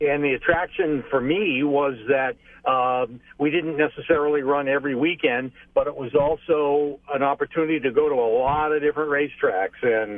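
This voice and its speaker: At a moderate pace, a man talks in an unremarkable speaking voice with a fairly high pitch and ordinary pitch variation. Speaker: race track public address announcer. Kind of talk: interview answer by phone. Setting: phone line.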